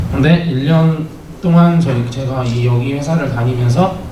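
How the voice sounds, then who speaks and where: A medium-pitched man with lively intonation, amid noticeable background noise and audible room echo. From Taebaek, Gangwon Province, South Korea. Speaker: cooperative employee, young community worker. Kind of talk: presentation at community meeting. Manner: halting, many fillers.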